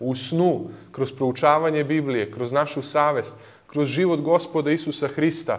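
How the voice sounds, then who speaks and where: His pace is moderate. This man keeps his intonation fairly even. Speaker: lecturer. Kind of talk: lecture. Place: hall. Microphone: studio mic.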